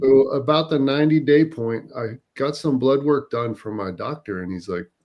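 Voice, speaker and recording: Using a plain, everyday voice, the speaker talks at a moderate pace with lively intonation. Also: man, medium pitch for a man. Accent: American. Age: 50s. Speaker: retired air force veteran. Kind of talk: interview answer, health testimonial.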